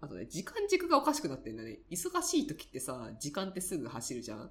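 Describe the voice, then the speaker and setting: A woman is speaking. Her pace is fairly quick. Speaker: personality-type counselor and podcast host. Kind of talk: casual chat.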